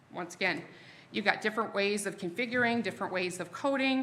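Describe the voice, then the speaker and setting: A woman's bright, sharp voice at medium pitch, with ordinary pitch variation and a fairly quick pace. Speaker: sales presenter for a security vendor. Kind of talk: product presentation to a live audience. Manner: fast; casual, self-interrupting.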